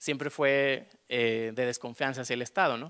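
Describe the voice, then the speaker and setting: Nothing can be heard behind the male speaker. He keeps a medium tempo and a fairly level intonation. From Mexico, León; Mexico. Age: 30s. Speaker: artist; panelist. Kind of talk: panel discussion. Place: hall. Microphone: handheld.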